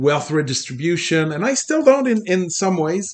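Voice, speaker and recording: A man with a slight Quebec accent, a high pitch and a moderate pace. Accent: light Québécois French accent in English. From Quebec, Abitibi region. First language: French. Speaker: computer programmer and former political candidate. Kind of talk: casual interview conversation. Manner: good-humored, laughs often.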